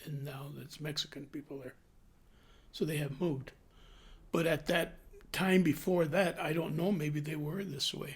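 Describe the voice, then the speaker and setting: Somewhat breathy and fairly high, the man's voice keeps a moderate pace and fairly even intonation, with big swings in loudness and long, frequent pauses. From New Mexico (Clayton, then Albuquerque). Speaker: retired butcher, interviewee. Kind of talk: oral history interview.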